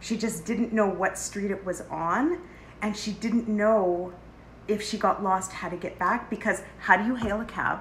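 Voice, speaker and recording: A woman with a Canadian accent speaks fairly slowly in an animated tone. Her somewhat breathy voice sits at a medium pitch with ordinary pitch variation. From Canada, Edmonton area. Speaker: podcast co-host. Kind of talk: casual chat.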